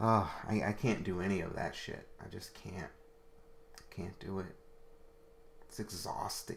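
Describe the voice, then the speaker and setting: His tone comes across bright and sharp. This man keeps a moderate pace. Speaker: talk show host. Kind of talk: live call-in show. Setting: livestream. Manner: soft-spoken.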